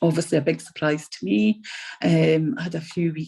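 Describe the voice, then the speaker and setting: Very deep and low, a woman's dark, mellow voice shows vocal fry and lively intonation. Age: 60s. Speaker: patient telling her story; RAF veteran. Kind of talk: testimony. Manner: halting, many ums.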